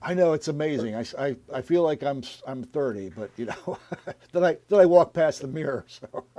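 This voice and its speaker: With noticeable background noise, a man speaks at a fairly quick pace and a fairly high pitch. His intonation is lively, with big swings in loudness. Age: 60s. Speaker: radio show host. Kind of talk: interview.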